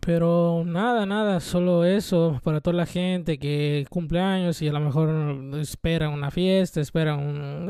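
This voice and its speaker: A man with a Mexican accent, fairly high in pitch, with a dark, mellow tone and fairly even intonation. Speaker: vlogger. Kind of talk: casual monologue.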